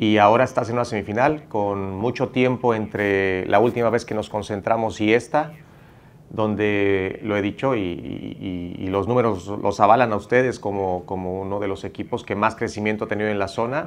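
A man speaks in a plain, everyday voice at a moderate pace, his fairly low pitch held in fairly even intonation. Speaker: national team head coach. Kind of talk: press conference answer. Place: hall. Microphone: podium.

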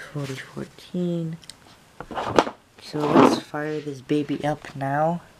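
A woman with a very deep, low voice speaks very slowly in a flat monotone, with long, frequent pauses. Noticeable background noise is present. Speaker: model train hobbyist reviewer. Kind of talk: product review, unboxing. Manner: casual, hesitant with fillers.

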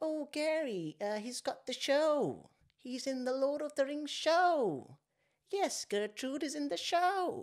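A put-on character voice at a high pitch moves at a fairly slow pace over a very clean recording with a silent background. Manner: excited, boastful.

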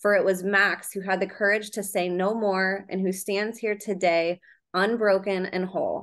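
Over a quiet background, a woman speaks at a moderate pace in a monotone, flat intonation. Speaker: podcast host. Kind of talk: interview. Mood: earnest, admiring. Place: home room. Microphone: video call.

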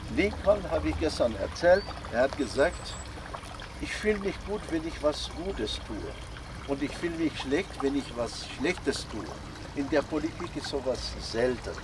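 A man at a fairly slow pace against noticeable background noise. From Algeria. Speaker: inventor presenting his devices. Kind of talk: workshop talk. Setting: outdoors. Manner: halting. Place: garden. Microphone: camera far.

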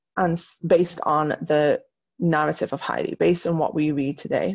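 A woman talks with a plain, everyday voice at a fairly low pitch. Her intonation is fairly even, and the background is quiet. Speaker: teacher. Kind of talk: recorded lesson tutorial. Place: home room.

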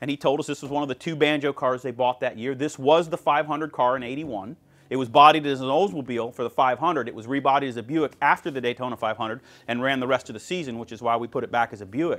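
Talking at a very fast pace, a man keeps an ordinary pitch variation. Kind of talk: interview answer, storytelling. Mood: enthusiastic, nostalgic. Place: garage. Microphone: lapel.

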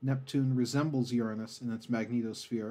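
Spoken at a moderate pace in a dark, mellow tone, the clip is very clean with a silent background. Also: man. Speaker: ASMR narrator. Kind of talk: educational space facts narration, ASMR style. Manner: soft-spoken, calm.

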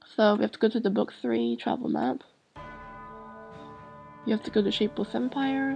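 A woman's voice with music in the background. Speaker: gaming video creator. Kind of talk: casual gameplay commentary.

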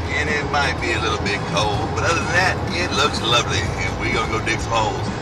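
A man talks at a fairly quick clip while loud noise carries on behind him. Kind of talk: casual vlog chat. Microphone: phone near.

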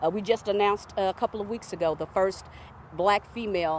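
A woman speaks at a fairly quick pace in an American accent, with ordinary pitch variation. The sound is dry with no echo and light background noise. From Tulsa, Oklahoma; Oklahoma. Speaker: city council member. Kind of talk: live TV interview. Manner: halting, many fillers. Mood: earnest, proud. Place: open country. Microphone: handheld.

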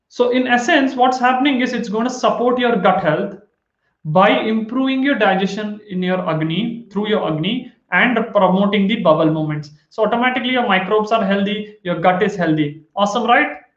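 A man talks at a fairly quick pace with a high pitch and ordinary pitch variation. The room echo is audible, and the background is quiet. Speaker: health educator. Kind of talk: lecture. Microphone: webcam.

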